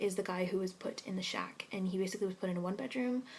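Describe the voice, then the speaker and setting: The woman's voice sits at a medium pitch. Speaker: English teaching scholar in Korea. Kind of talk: vlog answering viewer questions. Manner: fast.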